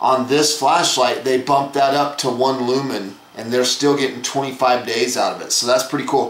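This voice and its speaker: Speaking at a moderate pace with hardly any pauses, a man holds a medium pitch in a monotone, flat delivery, with audible room echo and noticeable background noise. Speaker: flashlight reviewer. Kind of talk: product review.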